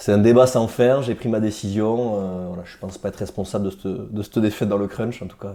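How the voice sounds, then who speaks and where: With a normal speaking voice, a man talks at a fairly quick pace with hardly any pauses, his fairly low pitch held in fairly even intonation while his loudness swings a lot. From Hautes-Pyrénées, southwest France. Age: 30s. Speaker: rugby player. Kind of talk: interview. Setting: studio.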